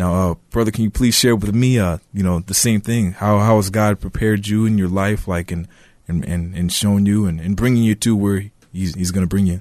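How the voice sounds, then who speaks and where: Against a quiet background, a man with an American accent speaks in a fairly low pitch with fairly even intonation. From Minnesota, US Midwest. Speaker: young church member, co-host of episode. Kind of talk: testimony; radio talk show. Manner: hesitant with fillers.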